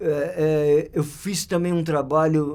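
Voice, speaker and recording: A man with a fairly high pitch talks very slowly, his intonation fairly even. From São Paulo, Brazil (north zone). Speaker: photographer. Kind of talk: interview storytelling. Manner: halting, many fillers and repetitions.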